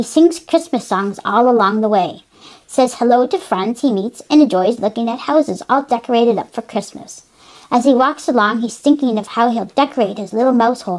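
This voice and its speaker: Putting on a character voice, a woman speaks at a fairly quick pace with a fairly high pitch. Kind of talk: children's storybook reading. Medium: read story. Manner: chatty, asks the listener questions.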